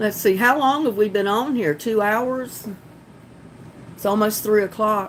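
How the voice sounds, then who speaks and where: In a Southern accent, a woman speaks at a fairly slow pace with a fairly high pitch and ordinary pitch variation. Her speech has long, frequent pauses. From North Carolina. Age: 40s. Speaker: gardening live streamer. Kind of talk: casual live stream chat. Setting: live stream on laptop. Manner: giggly.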